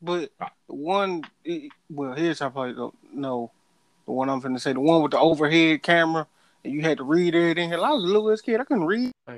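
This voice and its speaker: On a dry, close recording with no echo, a man speaks fairly quickly at a fairly high pitch with lively intonation. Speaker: podcast co-host. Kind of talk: casual banter.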